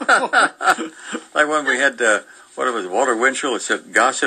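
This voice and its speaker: A man's voice with noticeable background noise. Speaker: radio show guest reading newspaper segment. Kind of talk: reading newspaper aloud and casual radio chat.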